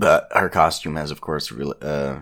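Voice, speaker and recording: On a very clean recording with a silent background, a man speaks at a moderate pace with a very deep, low pitch and vocal fry. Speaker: podcast host. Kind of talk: casual chat. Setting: home recording.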